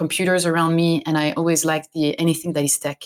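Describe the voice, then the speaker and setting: A woman with a French accent talks at a fairly low pitch. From France. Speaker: games industry operations director. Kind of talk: interview.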